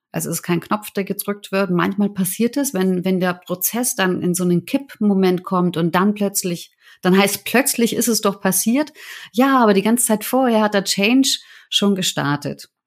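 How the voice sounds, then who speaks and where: Here a woman has an unremarkable speaking voice at a medium pitch. Her pace is moderate and her pitch varies in an ordinary way. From Germany. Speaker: change management consultant. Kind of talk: interview.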